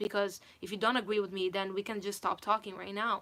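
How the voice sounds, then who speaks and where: A woman with a non-native accent talks very fast in a bright, sharp voice of medium pitch. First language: not English. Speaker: singer and vocal coach. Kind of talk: livestream chat. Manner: animated.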